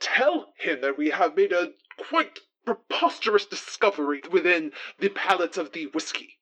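Middle-pitched, put-on character voice. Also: moderate pace. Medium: actual play. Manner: formal, fussy.

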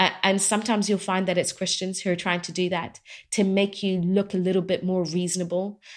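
A woman with an English accent in a monotone, flat intonation, in a very clean recording with a silent background. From England. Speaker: doctor and Bible teacher. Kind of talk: interview.

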